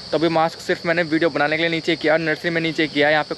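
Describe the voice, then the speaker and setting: There is a dry sound with no echo as a man speaks over light background noise. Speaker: vlogger. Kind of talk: casual vlog chat. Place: garden. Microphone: phone near.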